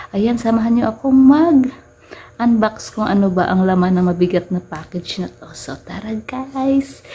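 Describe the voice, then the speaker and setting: Over noticeable background noise, a soft-spoken woman talks with lively intonation. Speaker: vlogger. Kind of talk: casual unboxing vlog. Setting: at home at night.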